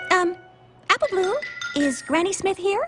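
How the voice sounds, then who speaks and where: A female-sounding, squeaky put-on character voice at an extremely high pitch moves at a moderate pace over faint music in the background. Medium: cartoon. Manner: polite, gentle.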